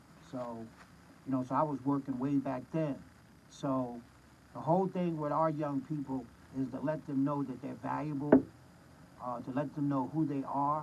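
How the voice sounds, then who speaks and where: A man's monotone, flat delivery at a moderate pace, broken by long, frequent pauses. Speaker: former teacher and commentator. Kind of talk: casual monologue. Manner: repetitive, halting.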